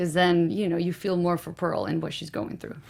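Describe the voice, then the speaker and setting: A woman with a slight Guatemalan accent speaks at a fairly low pitch on a very clean recording with a silent background. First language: Spanish. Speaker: film director. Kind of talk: casual interview. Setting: studio.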